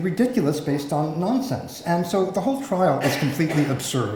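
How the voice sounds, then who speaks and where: The pitch swings very widely, with audible room echo and noticeable background noise in the recording. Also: man. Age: 60s. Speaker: journalist and public health academic. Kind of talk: conference talk.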